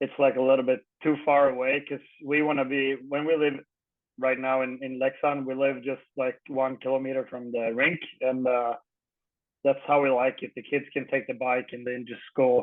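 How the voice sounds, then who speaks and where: A man speaks with a Swedish accent at a moderate pace. His intonation stays monotone and flat. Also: medium pitch for a man. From Sweden, Örebro county (Guldsmedshyttan). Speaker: retired ice hockey player. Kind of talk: casual interview. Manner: halting.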